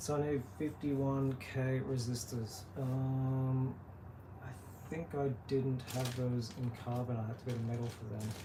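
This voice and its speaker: Mumbling with fairly even intonation, the speaker is heard through audible room echo. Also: man, medium pitch for a man, fairly slow pace. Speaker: pedal builder. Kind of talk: live build tutorial. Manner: casual, halting.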